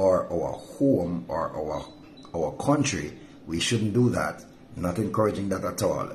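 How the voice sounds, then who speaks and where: With music in the background, a man speaks at a fairly slow pace and a fairly low pitch. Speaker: pastor. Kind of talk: devotional sermon. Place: home room. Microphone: phone near.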